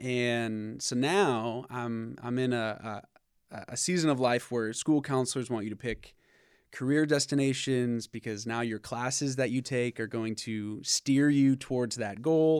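A man with an American accent uses a normal speaking voice at medium pitch, talking at a fairly slow pace with fairly even intonation. The recording is very clean, with a silent background. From US Midwest (Michigan, northern Indiana). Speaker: pastor and author. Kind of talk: podcast interview.

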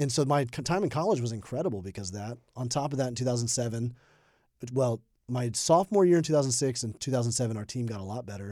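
A man with an American accent, medium pitch, ordinary pitch variation and a dark, mellow tone, at a very fast pace, in a very clean recording with a silent background. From US South, Birmingham, Alabama. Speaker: pastor. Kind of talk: interview. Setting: studio.

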